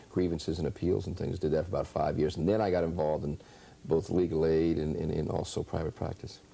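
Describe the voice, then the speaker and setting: In a slight West Virginia accent, a man talks at a very fast pace with a very deep, low pitch, a dark, mellow tone and fairly even intonation. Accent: slight West Virginia lilt. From US South (West Virginia, Appalachia). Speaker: state legislator. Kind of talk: interview.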